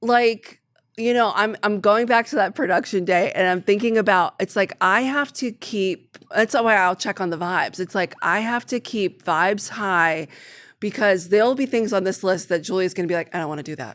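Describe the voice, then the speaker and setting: The tone is animated, with ordinary pitch variation, at a moderate pace. The recording is very clean, with a silent background. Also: woman, medium pitch for a woman. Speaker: sister and team director at family business. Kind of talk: casual podcast chat. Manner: loud.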